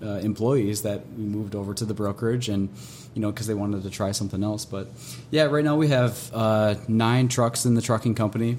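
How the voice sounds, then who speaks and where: Delivered at a fairly quick pace with fairly even intonation, this is an ordinary speaking voice. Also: man. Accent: American. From Minnesota, rural farm. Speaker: trucking and logistics business owner. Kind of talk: casual interview.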